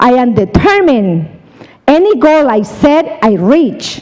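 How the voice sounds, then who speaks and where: A woman's high voice in a Colombian accent, very slow with very wide pitch swings, over noticeable background noise. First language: Spanish. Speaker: seminar speaker, insurance business. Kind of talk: motivational talk. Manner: animated.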